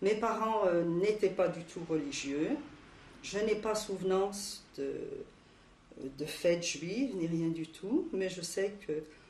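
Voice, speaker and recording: Her pace is very slow, with long, frequent pauses, medium pitch and ordinary pitch variation from this woman. Audible room echo and noticeable background noise fill the recording. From France, Paris area (Montreuil). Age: 60s. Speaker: Holocaust survivor interviewee. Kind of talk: oral history interview. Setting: recorded interview.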